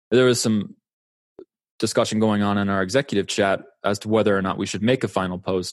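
A man speaks at a fairly quick pace and a fairly low pitch against a quiet background. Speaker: poker coach. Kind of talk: interview. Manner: earnest.

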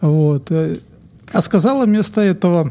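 A man's dark, mellow tone with lively intonation. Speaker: podcast co-host. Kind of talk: casual chat.

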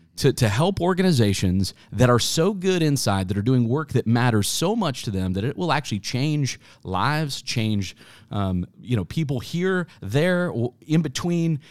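Recorded very cleanly against a silent background, a man with an American accent and a medium pitch speaks at a moderate pace with very wide pitch swings. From Kansas (Wichita). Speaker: marketing agency founder. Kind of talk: interview conversation.

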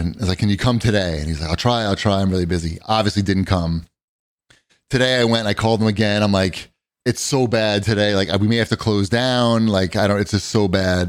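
A man speaks at a fairly quick pace in a fairly low voice with ordinary pitch variation and an unremarkable speaking voice. The recording is very clean, with a silent background. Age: 50s. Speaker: podcast host. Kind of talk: casual chat.

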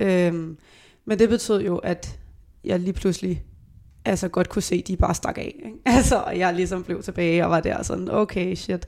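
A woman's medium-pitched voice with vocal fry, ordinary pitch variation and a moderate pace, on a very clean recording with a silent background. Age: 20s. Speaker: veterinary student. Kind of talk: casual chat. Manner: halting.

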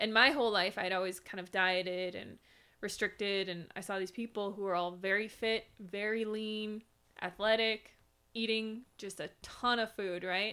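A woman's plain, everyday voice with an American accent, medium pitch, fairly even intonation, and a moderate pace. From Minnesota, US Midwest. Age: 30s. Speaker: vegan YouTuber. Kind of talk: casual interview.

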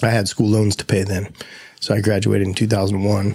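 A man with an American accent speaks at a fairly low pitch. His tone is dark and mellow, and his intonation is monotone and flat. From US Midwest, Ohio. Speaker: brewer and brewery owner. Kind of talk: interview.

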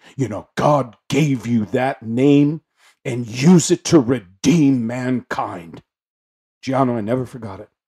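Speaking at a very slow pace, a man with a medium pitch and a dark, mellow tone shows ordinary pitch variation and big swings in loudness. The sound is dry and close, with no echo. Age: 40s. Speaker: life coach and minister. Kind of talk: interview.

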